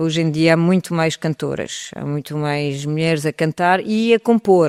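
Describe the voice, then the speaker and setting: Recorded dry and close with no echo, a woman speaks at a fairly slow pace. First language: French (speaking Portuguese). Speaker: singer. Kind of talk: interview.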